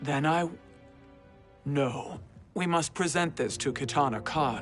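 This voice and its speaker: Over clear music in the background, a man uses a put-on character voice at a fairly high pitch and a fairly slow pace. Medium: video game. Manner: grave, formal.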